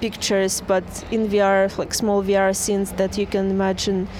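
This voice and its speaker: A woman's medium-pitched voice in a Russian accent, with noticeable background noise. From Russia, St. Petersburg. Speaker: VR artist. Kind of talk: interview. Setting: outdoors.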